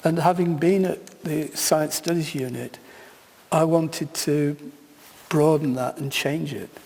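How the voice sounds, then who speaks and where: Speaking in a British accent, a man talks at a fairly slow pace and fairly high pitch with fairly even intonation. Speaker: keynote speaker, sociologist of science. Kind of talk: keynote lecture.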